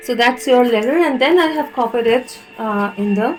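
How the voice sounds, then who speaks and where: A woman with an Indian accent speaks over noticeable background noise. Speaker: tarot reader. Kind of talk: spiritual reading and channelled letter read aloud. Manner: hesitant, many fillers.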